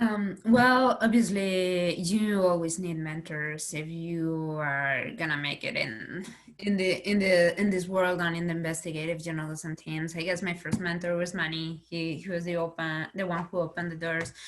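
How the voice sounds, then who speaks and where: A woman with a Spanish accent at a moderate pace, fairly low in pitch, with fairly even intonation and hardly any pauses. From Spain. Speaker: investigative reporter. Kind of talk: panel discussion. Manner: halting, many repetitions.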